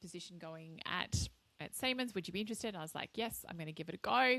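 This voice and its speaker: Bright and sharp in tone, a woman speaks with an Australian accent in a very clean recording with a silent background. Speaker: marketing and strategy executive. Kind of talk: podcast interview.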